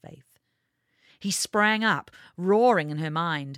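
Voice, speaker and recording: A woman's plain, everyday voice at a medium pitch with lively intonation, dry, close sound with no echo, in a very clean recording with a silent background. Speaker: audiobook narrator reading own fiction. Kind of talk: dramatic audiobook narration of a fantasy novel, read aloud.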